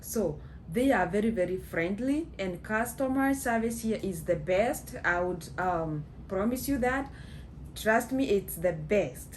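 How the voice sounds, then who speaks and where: A woman with a Kenyan accent speaks at a fairly slow pace in a medium pitch with vocal fry and lively intonation, and the room echo is audible. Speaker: vlogger. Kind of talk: casual storytelling. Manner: halting, many fillers.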